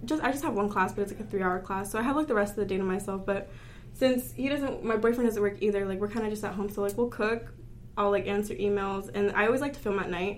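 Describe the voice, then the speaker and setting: A woman speaks at a very fast pace, with audible room echo. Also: medium pitch for a woman, ordinary pitch variation. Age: 20s. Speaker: makeup artist. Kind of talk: casual chat.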